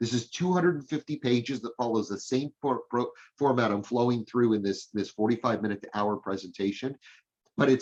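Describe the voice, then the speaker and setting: This man talks at a moderate pace in an ordinary speaking voice. His pitch varies in an ordinary way. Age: 60s. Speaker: hiring consultant and speaker. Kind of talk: business presentation. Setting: live-streamed chamber meeting.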